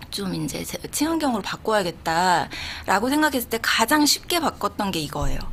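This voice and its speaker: The speech moves at a moderate pace with hardly any pauses and very wide swings in pitch. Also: woman, fairly high pitch for a woman. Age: 40s. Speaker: YouTuber, entrepreneur. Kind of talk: radio interview answer. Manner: chatty, casual.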